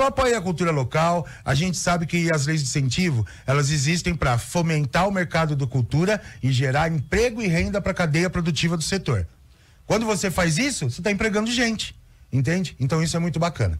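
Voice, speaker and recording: Lively intonation at a fairly quick pace. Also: man, high pitch for a man, very even loudness. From São Paulo, Brazil. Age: 50s. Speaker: cultural producer. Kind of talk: radio interview. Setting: radio studio. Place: studio. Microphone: studio mic.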